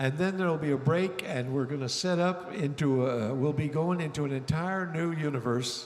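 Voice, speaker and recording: A man with a Canadian accent speaks at a moderate pace with ordinary pitch variation. Audible room echo and noticeable background noise surround him. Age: 70s. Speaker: singer-songwriter. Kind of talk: stage banter between songs. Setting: stage with audience. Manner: halting, many fillers.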